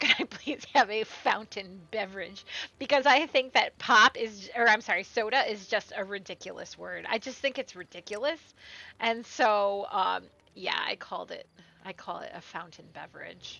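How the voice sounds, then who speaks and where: Over music in the background, a woman with an American accent speaks at a moderate pace with big swings in loudness. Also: fairly high pitch for a woman, ordinary pitch variation. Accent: Midwestern, noticeable at times. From US Midwest. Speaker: gaming streamer. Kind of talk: gameplay commentary. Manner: casual, chatty with fillers.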